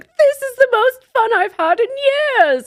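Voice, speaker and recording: This put-on character voice sounds female, extremely high and squeaky, in a British accent. The pace is fairly slow. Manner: laughing, delighted.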